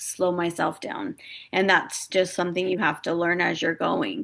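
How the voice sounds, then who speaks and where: In front of a quiet background, a woman speaks at a medium pitch with ordinary pitch variation in an unremarkable speaking voice. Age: 40s. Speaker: life insurance broker and agency recruiter. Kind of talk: webinar-style presentation. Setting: home office, recorded online session.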